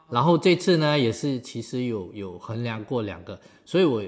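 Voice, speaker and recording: A man with an unremarkable speaking voice talks at a medium pitch and moderate pace, his intonation lively. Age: 50s. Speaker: amateur marathon runner. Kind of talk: casual interview chat.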